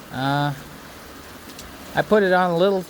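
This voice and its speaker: With noticeable background noise behind him, a high-pitched man talks at a moderate pace, his intonation lively. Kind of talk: casual DIY narration. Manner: rambling, hesitant.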